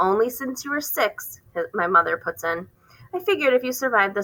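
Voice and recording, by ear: A text read aloud in a natural voice, the intonation lively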